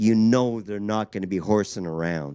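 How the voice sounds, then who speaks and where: Speaking with a Canadian accent, a man uses an ordinary speaking voice with lively intonation at a fairly slow pace. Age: 60s. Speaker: drag strip announcer. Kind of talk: PA announcement.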